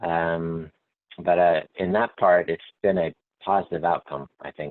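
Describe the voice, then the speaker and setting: A man with a Texas accent speaks at a fairly slow pace. His pitch is very deep and low, and his intonation is monotone and flat. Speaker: company manager. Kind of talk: panel discussion.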